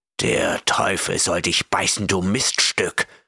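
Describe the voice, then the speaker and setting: A raspy, growling put-on character voice from a man. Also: fairly slow pace, dry, close sound with no echo. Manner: growling, disgusted.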